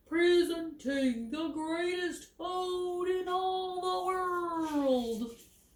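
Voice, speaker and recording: Using a put-on character voice at an extremely high pitch, a woman speaks at a very slow pace with audible echo. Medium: read story.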